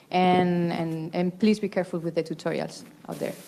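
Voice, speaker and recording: The voice has a dark, mellow tone. It carries a Spanish accent. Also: woman. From Spain. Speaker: professor, cancer researcher; conference presenter. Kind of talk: conference Q&A. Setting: conference hall with audience. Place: meeting room. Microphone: handheld.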